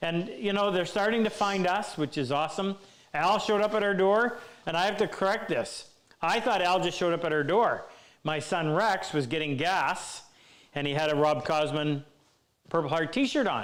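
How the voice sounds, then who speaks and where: With audible room echo, the voice keeps a moderate pace, ordinary pitch variation and very even loudness. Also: man, high pitch for a man. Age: 60s. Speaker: woodworking teacher. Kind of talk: live Q&A stream. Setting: workshop live stream.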